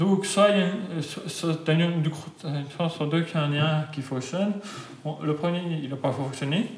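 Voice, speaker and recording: A man at a very slow pace with fairly even intonation, amid noticeable background noise. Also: fairly high pitch for a man. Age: 20s. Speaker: patient with juvenile Huntington's disease. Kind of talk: interview.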